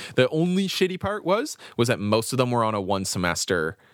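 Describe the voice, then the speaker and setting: With a Canadian accent, a man's pitch swings very widely in a very clean recording over a silent background. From Canada. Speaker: podcast host and music reviewer. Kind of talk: casual chat, music review podcast. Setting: home basement. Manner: talkative, jokey, casual.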